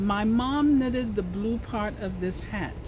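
The speech comes at a fairly slow pace with noticeable background noise. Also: woman. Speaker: knitting vlogger. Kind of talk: casual vlog chat. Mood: cheerful, humorous. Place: garden. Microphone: phone near.

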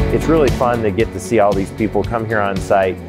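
Over clear music in the background, a man talks at a fairly quick pace in a fairly low pitch. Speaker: auctioneer, business owner. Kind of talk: promotional interview talk. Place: hall.

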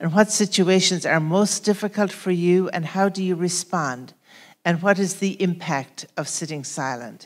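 A woman with a fairly low pitch talks at a moderate pace with few pauses and ordinary pitch variation.

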